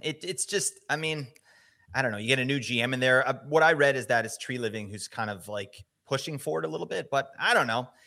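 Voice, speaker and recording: Fairly quick and lively in intonation, the voice has a bright, sharp tone and a Canadian accent. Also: man, very clean recording, silent background. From Canada, Vancouver. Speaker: fantasy hockey podcaster. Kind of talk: casual chat. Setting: live digital radio show. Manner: animated.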